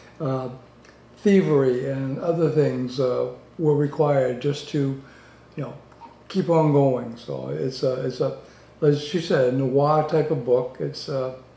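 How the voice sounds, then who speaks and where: Over audible room echo, a fairly high-pitched man talks fairly slowly with fairly even intonation. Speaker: book reviewer. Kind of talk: book review talk to camera. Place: home room. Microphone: webcam.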